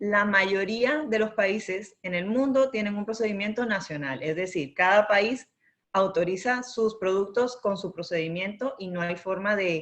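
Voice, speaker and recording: With a Latin American accent, a woman speaks at a medium pitch. Her pace is fairly slow. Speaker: intellectual property and regulatory consultant. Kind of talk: webinar presentation. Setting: online webinar.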